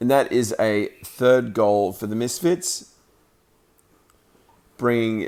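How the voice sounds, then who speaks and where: A man speaks with an Australian accent. His pace is fairly slow, and his pitch varies in an ordinary way. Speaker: amateur sports commentator and streamer. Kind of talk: live commentary; casual chat. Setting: roller skating rink. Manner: halting, filler words.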